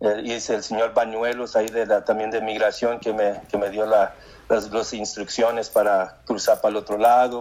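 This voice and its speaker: This man's voice sits at a medium pitch and moves at a moderate pace. He speaks with monotone, flat intonation. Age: 50s. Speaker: war veteran. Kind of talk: interview. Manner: halting.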